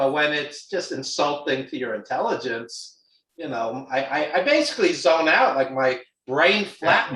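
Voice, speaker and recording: Here a man talks with a Brooklyn accent. His pitch variation is ordinary. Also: fairly high pitch for a man, moderate pace. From New York, Brooklyn. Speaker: wrestling film producer. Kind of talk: casual chat.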